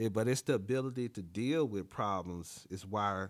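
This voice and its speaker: A man with a fairly low voice at a fairly slow pace. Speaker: podcast host. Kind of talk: solo podcast monologue giving advice. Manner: casual, conversational, laughs often.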